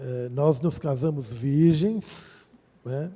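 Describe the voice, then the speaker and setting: A man talks at a fairly slow pace in a dark, mellow tone, somewhat breathy. His fairly high voice shows ordinary pitch variation. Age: 60s. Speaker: pastor. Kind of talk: testimony. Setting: church.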